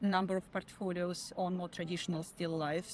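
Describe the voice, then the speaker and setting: A woman's medium-pitched voice with a non-native accent. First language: not English. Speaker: photographer. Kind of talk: interview. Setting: outdoors.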